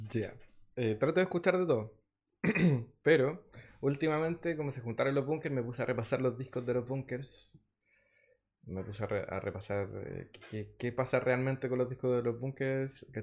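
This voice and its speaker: At a moderate pace and medium pitch, a man speaks with ordinary pitch variation and long, frequent pauses against a quiet background. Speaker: musician. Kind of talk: interview. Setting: studio.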